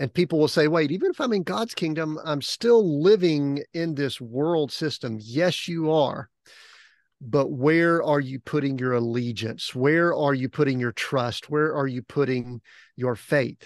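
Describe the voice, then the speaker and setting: A man with a fairly high pitch speaks fairly slowly in a plain, everyday voice, his pitch varying in an ordinary way. The sound is dry and close with no echo, over a quiet background. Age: 50s. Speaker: author and strategic coach. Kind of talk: casual interview chat.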